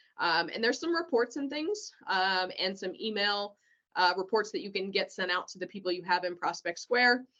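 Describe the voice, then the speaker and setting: At a moderate pace and medium pitch, a woman with an ordinary speaking voice talks with lively intonation. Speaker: real estate office trainer. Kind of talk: online training walkthrough. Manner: many filler words.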